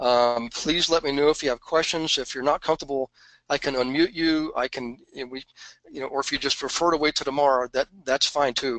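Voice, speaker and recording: A man with an American accent and an ordinary speaking voice talks fairly quickly at a fairly high pitch, his intonation fairly even and the sound dry and close with no echo. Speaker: real estate investing coach. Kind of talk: live webinar Q&A. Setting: online webinar. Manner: casual, conversational with many fillers.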